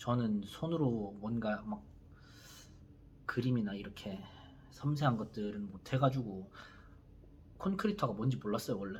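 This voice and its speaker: A man with a Busan accent speaks at a fairly slow pace with long, frequent pauses. His fairly low voice shows ordinary pitch variation. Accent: Busan dialect (Gyeongsang). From South Korea, Busan. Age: 30s. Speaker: YouTuber, construction worker. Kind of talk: casual vlog monologue. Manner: hesitant, many fillers.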